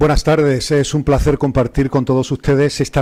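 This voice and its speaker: A man's dark, mellow voice, dry and close with no echo. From Andalusia, Granada. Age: 40s. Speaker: priest and theology professor. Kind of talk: panel talk.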